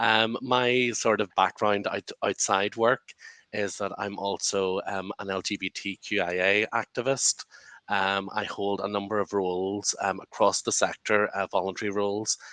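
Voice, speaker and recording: A man with a Northern Irish accent, fairly low-pitched, bright and sharp in tone, at a moderate pace, flat and monotone, in a dry, close sound with no echo. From Northern Ireland. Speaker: lawyer and activist, panelist. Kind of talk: panel discussion.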